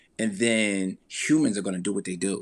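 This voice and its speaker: In a very clean recording with a silent background, a man with an unremarkable speaking voice and fairly low pitch talks at a moderate pace. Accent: American. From Newark, New Jersey. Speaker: entrepreneur and life coach. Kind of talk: interview conversation.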